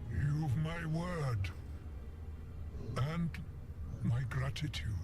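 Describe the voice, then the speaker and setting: Over loud background noise, a man puts on a hoarse, croaky character voice at a fairly low pitch and a very slow pace. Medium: machinima. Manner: weary, scornful.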